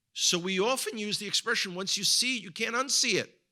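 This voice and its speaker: A man's raised, projected, high-pitched voice in a bright, sharp tone with an American accent, on a very clean recording with a silent background. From US, New York (the Bronx). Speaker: guest speaker and tour guide. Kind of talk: sermon-style talk to a congregation. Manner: halting, with frequent word repetitions.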